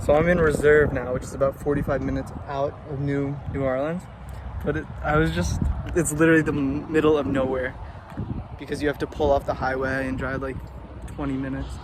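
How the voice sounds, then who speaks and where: With an American accent and fairly even intonation, a man speaks at a fairly high pitch over noticeable background noise. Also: fairly quick pace. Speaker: travel vlogger. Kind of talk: casual vlog.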